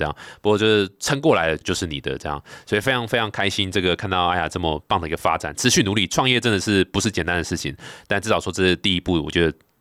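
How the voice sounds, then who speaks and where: A man speaks at a very fast pace with a very deep, low pitch. The sound is dry and close with no echo, on a very clean recording with a silent background. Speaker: podcast host, venture capital. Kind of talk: interview.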